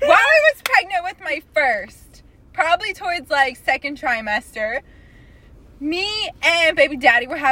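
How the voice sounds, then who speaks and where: In a raised, projected voice, a woman speaks at a fairly slow pace with very wide pitch swings. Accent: American. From Texas, Corpus Christi. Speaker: podcast guest. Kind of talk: casual chat.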